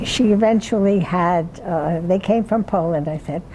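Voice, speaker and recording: Over noticeable background noise, a woman speaks at a very slow pace in a fairly low pitch with fairly even intonation. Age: 80s+. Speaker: retirement community resident telling life story. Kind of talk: life story talk. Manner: halting.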